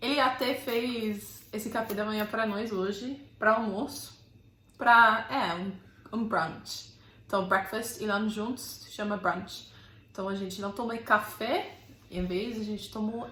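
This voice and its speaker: Speaking at a fairly slow pace, a woman with a fairly high pitch has a slight non-native accent. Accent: light foreign accent in Portuguese. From Belfast, Northern Ireland. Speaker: YouTuber. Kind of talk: casual talk to camera.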